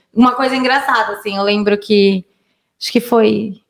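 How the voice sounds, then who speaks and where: A woman's fairly high voice, an ordinary speaking voice, with fairly even intonation. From Minas Gerais and São Paulo state, Brazil. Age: 30s. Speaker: digital influencer. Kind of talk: casual chat.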